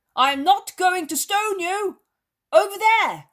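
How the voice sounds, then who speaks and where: A loud, put-on character voice comes through at an extremely high pitch and a fairly slow pace. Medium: read story. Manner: loud, blunt.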